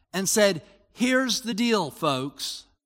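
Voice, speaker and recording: With a raised, projected voice, a man at a high pitch speaks at a fairly slow pace with lively intonation. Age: 60s. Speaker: pastor. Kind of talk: sermon. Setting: church.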